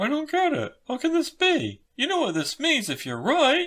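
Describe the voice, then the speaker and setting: A put-on character voice, high in pitch, at a moderate pace. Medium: read story.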